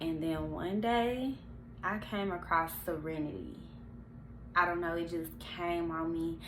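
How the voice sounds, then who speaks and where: Delivery comes at a fairly slow pace with long, frequent pauses. Audible room echo surrounds the voice. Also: woman, fairly low pitch for a woman, ordinary pitch variation. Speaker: vlogger. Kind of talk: personal testimony.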